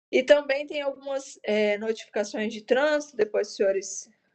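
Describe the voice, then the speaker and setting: With an unremarkable speaking voice, a woman talks at a moderate pace using ordinary pitch variation. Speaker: police corporal and traffic instructor. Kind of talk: lecture.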